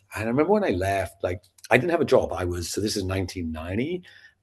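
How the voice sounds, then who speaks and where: A man's somewhat breathy, fairly low voice over a quiet background. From Scotland. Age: 50s. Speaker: sales trainer and entrepreneur. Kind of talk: podcast interview. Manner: animated.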